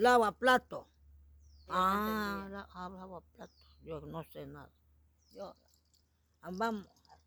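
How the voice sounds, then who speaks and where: Long, frequent pauses interrupt delivery that proceeds at a very slow pace. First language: Shuar (speaking Spanish). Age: old. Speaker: Shuar elder. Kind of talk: interview. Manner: halting.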